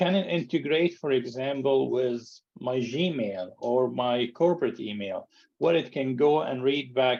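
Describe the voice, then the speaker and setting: At a fairly slow pace, a man with an Arabic accent speaks with a medium pitch and ordinary pitch variation. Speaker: entrepreneur and conflict mediator. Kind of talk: group video call Q&A. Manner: halting, many repeated words.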